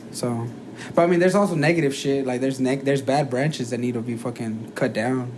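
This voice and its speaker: The speaker talks very fast with a slight non-native accent and ordinary pitch variation. Noticeable background noise and audible room echo fill the recording. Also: man, medium pitch for a man. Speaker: podcast co-host. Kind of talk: casual chat. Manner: halting, many fillers.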